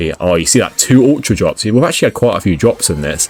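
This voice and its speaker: Music plays behind a man with a British accent. He speaks at medium pitch with very wide pitch swings. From UK. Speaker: gaming youtuber. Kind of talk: casual commentary. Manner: halting.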